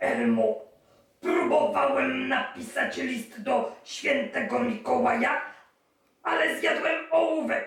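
In a put-on character voice, the speaker talks high and fairly slowly, with a slight echo around the words. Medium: read story.

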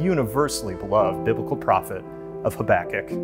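Clear music sounds behind a man who speaks at a fairly quick pace. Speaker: minister. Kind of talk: worship introduction and prayer. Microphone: lapel.

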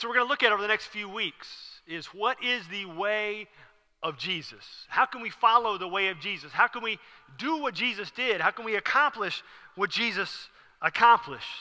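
Using a raised, projected voice, a man talks at a moderate pace with ordinary pitch variation. His loudness swings widely against a quiet background. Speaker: preacher. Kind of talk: sermon. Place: church. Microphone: headset.

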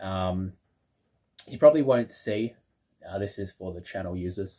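This voice has a dark, mellow tone and is somewhat breathy, with ordinary pitch variation. It keeps a moderate pace over light background noise. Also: man. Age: 20s. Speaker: YouTuber exploring waterways; channel host. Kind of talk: casual vlog announcement. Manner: hesitant with many fillers. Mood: proud, reflective. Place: home room. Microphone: phone near.

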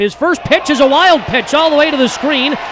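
A man talks at a moderate pace with music in the background. The sound is dry with no echo. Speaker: baseball play-by-play announcer. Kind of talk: live sports commentary, call-by-call highlights. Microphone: headset.

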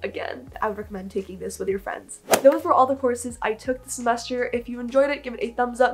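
A woman talks at a very fast pace with a high pitch. Clear music plays in the background. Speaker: student vlogger. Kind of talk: casual vlog talk. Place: home room.

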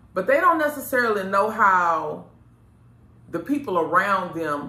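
Woman's voice at a moderate pace, with audible room echo. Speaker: show host giving advice. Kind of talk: casual advice talk to camera. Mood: earnest, reflective. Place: studio.

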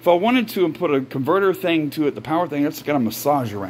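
Someone speaks at a fairly quick pace. There is noticeable background noise. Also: man. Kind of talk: casual vlog talk to camera.

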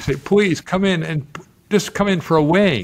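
The speaker is a man. His pace is moderate. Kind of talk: interview answer. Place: home room. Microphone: studio mic.

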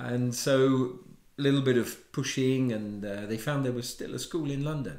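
A man speaks at a medium pitch with fairly even intonation, and room echo can be heard. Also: moderate pace, quiet background. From England. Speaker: watchmaker; interviewee. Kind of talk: interview. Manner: halting. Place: home room. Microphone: lapel.

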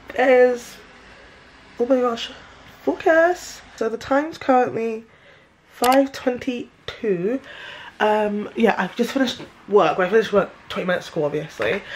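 Speaking with a British accent, a woman uses a fairly high pitch with very wide pitch swings at a moderate pace, with long, frequent pauses and light background noise. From London, UK. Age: 20s. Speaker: lifestyle vlogger. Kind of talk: casual vlog talk to camera. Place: home room. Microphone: phone near.

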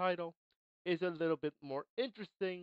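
The speech moves at a moderate pace with ordinary pitch variation. The background is quiet, and the sound is dry with no echo. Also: man. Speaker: gaming news host. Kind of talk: commentary reading an article. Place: home room. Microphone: headset.

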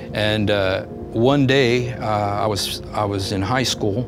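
A man speaks at a very slow pace, his pitch fairly low with ordinary variation. Music plays clearly in the background. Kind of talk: personal testimony storytelling. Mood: reflective, earnest. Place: empty room.

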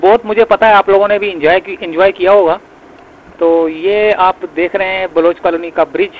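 A man's high pitch, fairly even intonation and moderate pace in dry, close sound with no echo.

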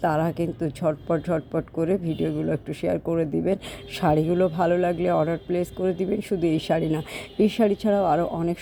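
A woman with a fairly low pitch speaks in a monotone, flat way over noticeable background noise. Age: 40s. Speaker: vlogger and online saree seller. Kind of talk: casual vlog monologue. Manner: rambling, loosely organized.

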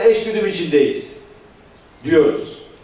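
High-pitched male speech at a moderate pace, fairly even in intonation, with audible room echo. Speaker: party official. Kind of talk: political speech. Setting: meeting hall with audience. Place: hall.

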